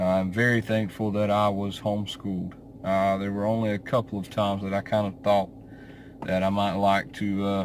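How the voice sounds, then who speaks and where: In a Southern US accent, a man speaks at a moderate pace with a fairly low pitch and a monotone, flat intonation. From US South, central eastern North Carolina. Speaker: YouTuber. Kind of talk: casual vlog monologue. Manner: hesitant, many fillers.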